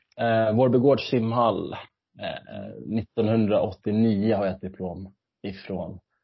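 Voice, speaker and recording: Very slowly and with fairly even intonation, a man speaks at a fairly low pitch. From Sweden, Stockholm area. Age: 30s. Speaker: retired competitive swimmer. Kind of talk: interview. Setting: at home in kitchen, remote call.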